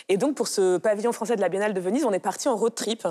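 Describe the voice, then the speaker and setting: A fairly high-pitched woman's voice, dark and mellow in tone, with ordinary pitch variation, in a very clean recording with a silent background. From France. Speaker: art curator. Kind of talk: interview.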